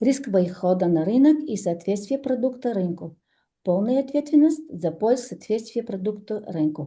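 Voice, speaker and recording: Her voice is dark and mellow, somewhat breathy, and fairly high in pitch. This woman's pitch swings very widely. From Bulgaria. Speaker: entrepreneur, business speaker. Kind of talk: presentation read from phone. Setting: stage with audience. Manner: halting, many fillers.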